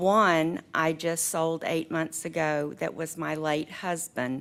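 A woman's very deep, low voice at a very slow pace on a very clean recording with a silent background. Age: 60s. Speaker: resident speaking in opposition. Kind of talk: public comment. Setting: county board meeting.

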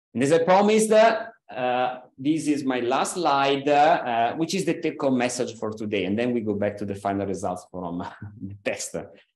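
In a space with audible room echo, a man speaks at a moderate pace with very wide pitch swings. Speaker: invited lecturer. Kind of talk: lecture. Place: hall.

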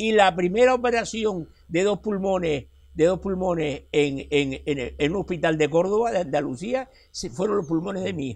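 Over a quiet background, a high-pitched man with a Canarian accent talks at a moderate pace with lively intonation. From La Guancha, Tenerife; Tenerife, Spain. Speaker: local chronicler and retired teacher; retired teacher. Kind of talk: interview answer. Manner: animated, talkative. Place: street. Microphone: lapel.

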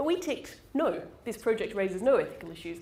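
The talking moves at a fairly quick pace. Room echo can be heard. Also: woman. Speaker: presenter. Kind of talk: lecture. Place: hall.

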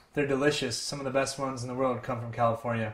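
The voice belongs to a man. His words ring with audible room echo. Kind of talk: cooking tutorial. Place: kitchen.

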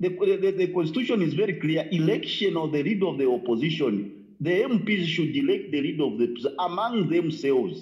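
Against a quiet background, a man speaks at a moderate pace with a high pitch. His intonation is lively, and he hardly pauses. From Zambia. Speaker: caller. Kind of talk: phone-in call. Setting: phone call. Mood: serious, critical. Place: home room. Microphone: phone near.

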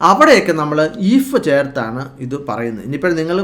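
This man's voice sits at a fairly high pitch and carries lively intonation. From Kerala, India. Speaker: English teacher. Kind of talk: tutorial.

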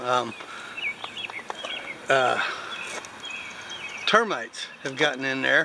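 A man talks at a very slow pace, his dry sound carrying no echo over noticeable background noise. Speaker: homesteader vlogger. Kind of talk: casual vlog chat. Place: garden. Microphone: phone near.

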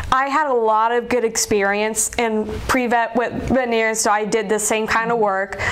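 A woman with an American accent speaks at a fairly high pitch in a monotone, flat intonation. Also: hardly any pauses. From South Carolina, Columbia. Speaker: veterinary student. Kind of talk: interview. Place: office. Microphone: lapel.

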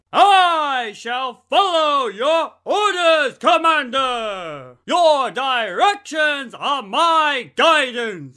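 Speaking in a put-on character voice, a man projects loudly at a very slow pace on a very clean recording with a silent background. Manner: grandiose, declamatory.

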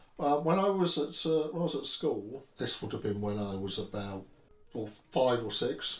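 With a southern English accent, a somewhat breathy man talks in lively intonation, and audible room echo surrounds him. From England. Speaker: Tolkien book collector; interviewee. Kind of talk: interview. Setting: at home. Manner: halting. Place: home room.

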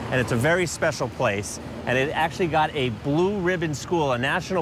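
A man's fairly high voice in a New York accent, at a fairly quick pace with ordinary pitch variation, over noticeable background noise. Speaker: city council member. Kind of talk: interview on a tour. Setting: on location.

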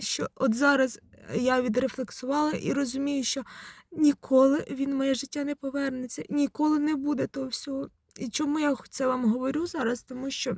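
A woman's high-pitched voice at a moderate pace, with fairly even intonation and a dry, close sound free of echo. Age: 40s. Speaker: psychologist, video blogger. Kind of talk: personal vlog monologue. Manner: conversational, reflective.

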